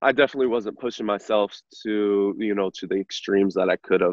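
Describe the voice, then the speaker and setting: With an unremarkable speaking voice, a man talks at a fairly quick pace, fairly low in pitch and with fairly even intonation. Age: 20s. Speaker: insurance agent. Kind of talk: podcast interview.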